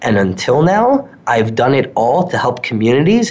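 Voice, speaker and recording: Here is a man with an American accent and an ordinary speaking voice. He talks at a moderate pace in a medium pitch. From New York suburbs. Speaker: social media consultant. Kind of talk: interview.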